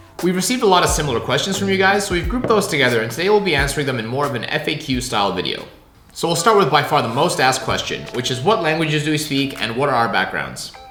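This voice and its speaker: Speaking very fast, a man with a fairly high pitch swings his voice very widely, with audible room echo and noticeable background noise. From Hong Kong (Canada until age nine). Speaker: YouTuber, former lawyer. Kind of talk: casual Q&A.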